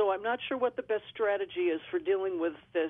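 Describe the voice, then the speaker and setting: Lively intonation marks a woman's unremarkable speaking voice. She talks at a fairly quick pace. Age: 50s. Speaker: radio caller. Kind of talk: phone-in question. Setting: phone call.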